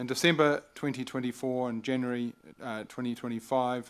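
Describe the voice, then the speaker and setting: A fairly quick delivery in a New Zealand accent. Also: man. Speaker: mayor chairing council meeting. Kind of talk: formal council meeting address. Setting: council chamber, livestreamed meeting.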